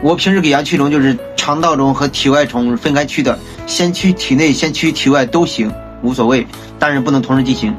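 Clear music plays in the background as the speaker talks with very even loudness and ordinary pitch variation. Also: man, fairly quick pace. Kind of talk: casual vlog chat. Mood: calm, matter-of-fact. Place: home room.

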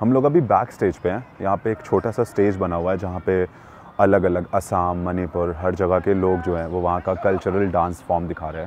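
A man speaks at a moderate pace in a very deep, low pitch with fairly even intonation. The sound is dry with no echo, and there is light background noise. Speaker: video reporter. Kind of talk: commentary. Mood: thoughtful, concerned. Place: street.

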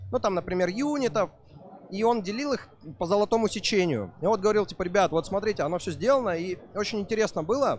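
Over light background noise, a man with a high pitch talks at a fairly quick pace with lively intonation, the sound dry with no echo. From Vladivostok, Russia. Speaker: esports organizer and Warcraft player. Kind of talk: casual interview chat. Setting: live stream at event. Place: hall. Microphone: handheld.

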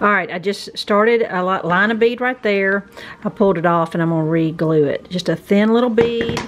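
At a moderate pace, a woman speaks at a medium pitch with ordinary pitch variation.

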